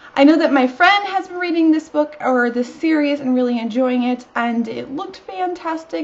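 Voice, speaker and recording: Over noticeable background noise, a woman with a high pitch speaks at a moderate pace. Her intonation is lively, and she hardly pauses. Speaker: book vlogger. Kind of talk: casual talk to camera.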